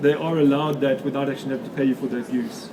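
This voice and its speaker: A man's fairly high voice with a South African accent at a very fast pace, with audible room echo and noticeable background noise. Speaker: photographer and author giving a talk. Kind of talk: lecture. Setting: stage with audience at an expo.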